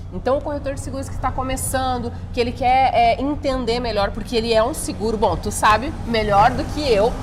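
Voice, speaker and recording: Amid noticeable background noise and audible room echo, a woman with a southern Brazilian accent talks at a moderate pace in a high voice with ordinary pitch variation and hardly any pauses. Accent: gaúcho accent, kept. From Rio Grande do Sul, Brazil. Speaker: podcast host, insurance broker. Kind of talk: podcast interview. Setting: on location in Itajaí.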